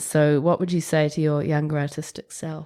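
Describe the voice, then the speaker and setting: A New Zealand accent in a monotone, flat delivery, on a very clean recording with a silent background. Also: woman. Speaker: podcast host. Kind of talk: interview. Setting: studio.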